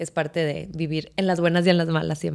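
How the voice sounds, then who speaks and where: A woman with an ordinary speaking voice and a fairly low pitch talks at a fairly quick pace. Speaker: stadium announcer and marketer. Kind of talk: podcast interview answer.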